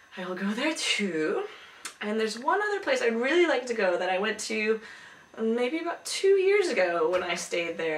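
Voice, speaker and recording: A woman talks at a moderate pace in a fairly high pitch with very wide pitch swings. Noticeable background noise and audible room echo come through. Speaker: video blogger. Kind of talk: casual vlog talk. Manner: hesitant, many fillers.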